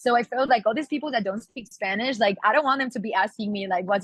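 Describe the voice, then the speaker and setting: With a Catalan accent, a woman talks at a very fast pace in a fairly high, somewhat breathy voice with ordinary pitch variation. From Catalonia, Spain. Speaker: singer. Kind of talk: interview. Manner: halting, many fillers.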